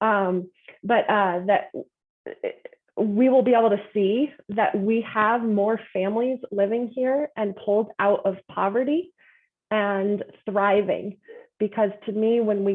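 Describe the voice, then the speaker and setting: The speaker uses fairly even intonation with an American accent. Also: woman. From Colorado, Boulder County. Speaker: political candidate. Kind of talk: candidate forum answer.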